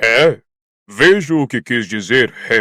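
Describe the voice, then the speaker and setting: A man performs a put-on character voice. The recording is very clean, with a silent background. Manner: slow.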